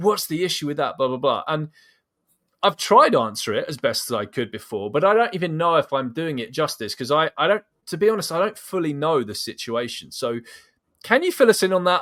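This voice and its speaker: A man with a British accent, fairly high in pitch and fairly quick in pace. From UK. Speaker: podcast host and vegan activist. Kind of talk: casual interview conversation. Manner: animated.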